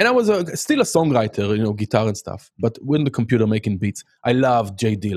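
Speaking very fast with hardly any pauses, a man with an Israeli accent talks at a medium pitch with ordinary pitch variation. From Israel, Haifa. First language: Hebrew. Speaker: music production teacher. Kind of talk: casual chat.

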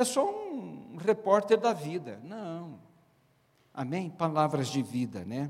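Speaking very slowly with long, frequent pauses, a man uses a high pitch that swings very widely. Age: 70s. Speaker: pastor, speaker on marriage. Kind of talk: sermon.

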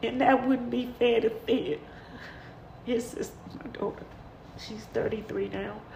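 A woman's very slow speech with long, frequent pauses, audible room echo and noticeable background noise. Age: 50s. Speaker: podcast host. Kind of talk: personal monologue. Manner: halting.

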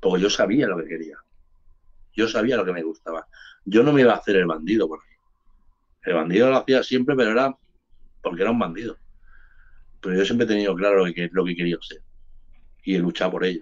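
This man talks at a very fast pace yet with long, frequent pauses, his fairly low voice animated in tone and lively in intonation. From Barcelona, Spain (born in Andalusia). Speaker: hip hop artist. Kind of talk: casual interview chat.

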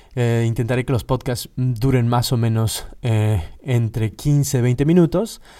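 A man talks at a medium pitch with a dark, mellow tone. The recording is very clean, with a silent background. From Mexico. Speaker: podcast host, philologist. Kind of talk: solo podcast monologue. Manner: halting, many fillers.

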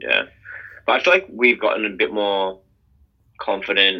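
A man speaks with an Australian accent. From Sydney, Australia. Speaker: electronic music duo member. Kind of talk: interview.

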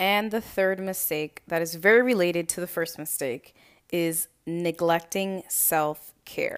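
In a very clean recording with a silent background, a woman with an American accent speaks fairly slowly. Hers is an ordinary speaking voice, fairly low in pitch with ordinary pitch variation. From Lynn, Massachusetts. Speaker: weight loss coach, podcast host. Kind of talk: solo podcast monologue. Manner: casual, conversational.

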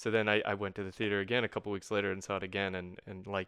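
Against a quiet background, a man with a fairly low pitch and a bright, sharp tone talks very fast, the sound dry and close with no echo. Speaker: podcast host. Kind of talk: casual chat.

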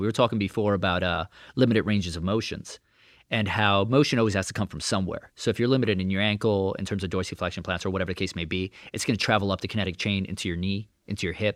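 A man with a New York accent speaks at a very fast pace with fairly even intonation and a fairly low pitch. The recording is very clean, with a silent background. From Brooklyn, New York. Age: 30s. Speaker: sports massage therapist. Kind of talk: casual chat. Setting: in his massage studio.

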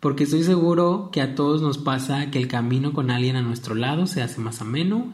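With hardly any pauses, a somewhat breathy man talks at a fairly quick pace and a fairly high pitch, with ordinary pitch variation and audible room echo. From Mexico, Michoacán (Apatzingán). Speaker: podcast host, fashion platform founder. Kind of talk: personal monologue.

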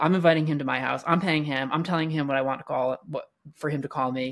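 The man speaks at a fairly high pitch with ordinary pitch variation. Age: 40s. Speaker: YouTuber and adult film producer. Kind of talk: casual chat.

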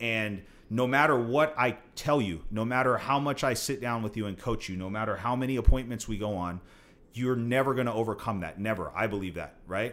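Talking at a fairly quick pace, a man with a medium pitch and ordinary pitch variation has an unremarkable speaking voice. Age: 30s. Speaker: real estate investor and mentor. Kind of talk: casual chat.

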